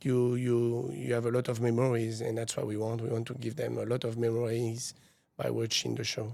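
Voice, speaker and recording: Here a man speaks at a fairly quick pace in a medium pitch. His tone is dark and mellow, his intonation monotone and flat. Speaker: stunt show company founder. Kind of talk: interview. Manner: hesitant, many fillers.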